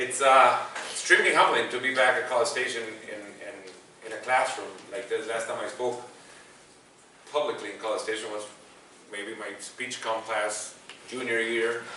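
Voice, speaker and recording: A man with a Spanish accent speaks at a medium pitch in a monotone, flat intonation, with long, frequent pauses, big swings in loudness, audible room echo, and noticeable background noise. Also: moderate pace. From El Salvador. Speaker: football commentator. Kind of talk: public talk. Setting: classroom with audience.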